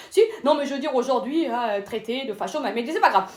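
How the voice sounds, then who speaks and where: Over noticeable background noise, a woman talks at a very fast pace in a high pitch, animated in tone and with lively intonation. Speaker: comedian. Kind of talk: stand-up.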